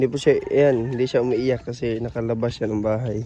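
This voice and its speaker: This man speaks at a moderate pace. His pitch is medium. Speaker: vlogger, parent. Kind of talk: casual vlog chat. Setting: outdoors, walking.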